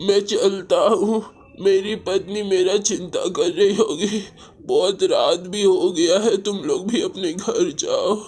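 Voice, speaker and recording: Using a cartoonish character voice, a man speaks at a high pitch and a fairly slow pace. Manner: stammering, confused.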